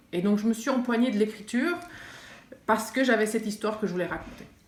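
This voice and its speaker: A woman speaks with a fairly high pitch and ordinary pitch variation. Audible room echo is present. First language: not French (French is third language) (speaking French). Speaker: writer and art teacher. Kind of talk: interview monologue. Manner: halting, many hesitations.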